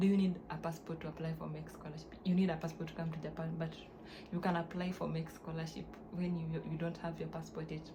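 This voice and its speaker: A woman talks very fast in a fairly low, monotone voice with flat intonation, with noticeable background noise and audible room echo. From Kenya. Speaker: YouTuber, scholarship student. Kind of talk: vlog tutorial. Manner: halting, self-correcting.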